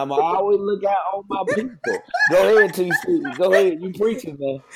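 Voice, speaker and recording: The speech comes at a moderate pace in a Mississippi accent. Noticeable background noise runs underneath. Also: man. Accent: US South (Mississippi). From Jackson, Mississippi. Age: 30s. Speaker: school behavior specialist. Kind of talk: casual chat.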